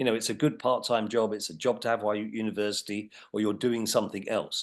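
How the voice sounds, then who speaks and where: The man's pitch is fairly low and his pace very fast. His intonation is fairly even against a quiet background. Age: 60s. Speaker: retail executive. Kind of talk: interview. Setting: podcast.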